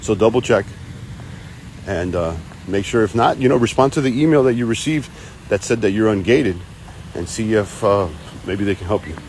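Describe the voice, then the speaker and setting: Amid noticeable background noise, a man with a fairly low pitch talks at a fairly quick pace, using ordinary pitch variation and long, frequent pauses. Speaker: online reseller hosting live Q&A stream. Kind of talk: live stream Q&A. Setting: live video stream. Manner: stutters, hesitant repetitions; energetic, hyped.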